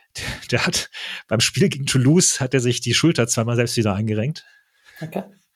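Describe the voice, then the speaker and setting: A man talks fairly quickly at a medium pitch, with ordinary pitch variation. His voice is somewhat breathy, and he leaves long, frequent pauses. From Germany. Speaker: football podcaster. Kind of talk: casual chat.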